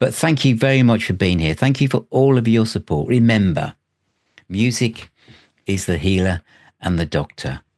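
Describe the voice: With a slight Birmingham accent, a man speaks at a moderate pace in a fairly low pitch, showing ordinary pitch variation and a slightly mellow tone.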